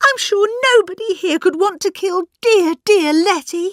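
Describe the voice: The voice is a put-on character. Its pace is moderate. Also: female-sounding voice, extremely high pitch for a woman.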